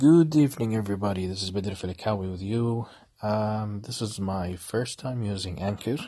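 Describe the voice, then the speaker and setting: Speaking at a moderate pace, a man with a fairly low pitch and a dark, mellow tone sounds somewhat breathy, with ordinary pitch variation. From Kuwait. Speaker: podcaster, former marine officer. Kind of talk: personal monologue. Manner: halting.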